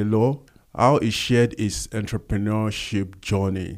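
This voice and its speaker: Over a silent background in a very clean recording, a man speaks in a monotone, flat way at a fairly low pitch. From Nigeria. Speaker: podcast host. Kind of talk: interview conversation.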